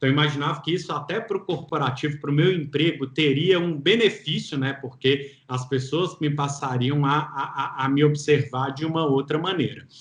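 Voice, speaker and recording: A man with a Minas Gerais accent talks at a moderate pace, hardly pausing at all. His fairly high voice is somewhat breathy, and his intonation stays fairly even. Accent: mineiro accent, noticeable. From Minas Gerais, Brazil. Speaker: entrepreneur and single father. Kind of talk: interview testimony. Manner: cheerful, relaxed.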